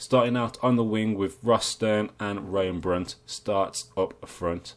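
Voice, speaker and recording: In an English accent, a man speaks fairly slowly at a medium pitch. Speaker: video game streamer. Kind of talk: gameplay commentary. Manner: casual, with hesitations.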